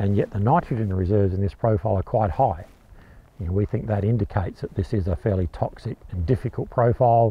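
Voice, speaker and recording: The voice is somewhat breathy, with ordinary pitch variation. It runs at a very fast pace, and the sound is dry with no echo. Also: man, fairly low pitch for a man. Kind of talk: explainer to camera. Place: farm machine. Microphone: lapel.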